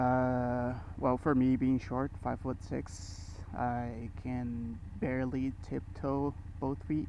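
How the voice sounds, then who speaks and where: Speaking at a very slow pace, a man has a medium pitch, a dark, mellow tone and ordinary pitch variation. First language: not English. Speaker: motorcycle vlogger. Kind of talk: casual motovlog while riding. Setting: riding a motorcycle on the road. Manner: hesitant, many fillers.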